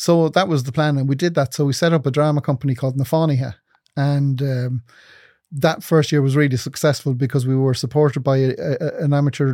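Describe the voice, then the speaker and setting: In an Irish accent, a man with a dark, mellow tone speaks at a very fast pace and a fairly high pitch with fairly even intonation, on a very clean recording with a silent background. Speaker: TV producer and senator. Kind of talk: casual interview chat.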